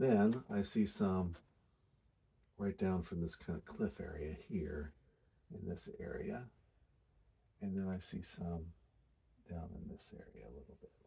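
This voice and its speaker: A whisper at a fairly slow pace, with long, frequent pauses and big swings in loudness. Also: man. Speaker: painting instructor. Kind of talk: tutorial. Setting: quiet room, studio. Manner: whispering.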